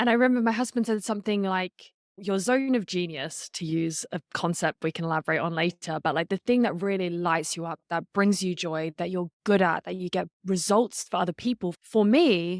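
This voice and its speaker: A woman with an Australian accent speaks with hardly any pauses, the sound dry and close with no echo on a very clean recording with a silent background. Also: medium pitch for a woman, ordinary pitch variation, moderate pace. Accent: non-American, Australian. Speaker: storytelling and public speaking coach, podcaster. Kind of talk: podcast interview.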